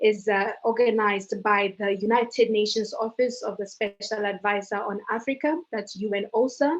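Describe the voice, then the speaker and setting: Music plays in the background as a woman speaks at a moderate pace. Her voice is fairly high, with ordinary pitch variation. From Botswana. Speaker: youth forum moderator. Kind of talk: moderating a panel session. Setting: video call.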